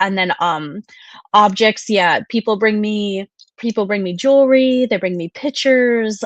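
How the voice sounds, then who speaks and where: In a slight Wisconsin accent, a woman with a medium pitch speaks at a fairly slow pace with ordinary pitch variation, recorded dry and close with no echo against a quiet background. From US Midwest, Wisconsin. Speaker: psychic medium. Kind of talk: interview.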